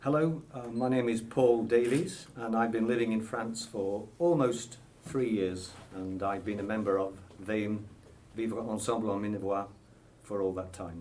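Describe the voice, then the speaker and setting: An English accent at a moderate pace, with ordinary pitch variation and audible room echo. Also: man, medium pitch for a man. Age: 60s. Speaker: association member, army veteran. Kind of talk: radio interview. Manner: hesitant.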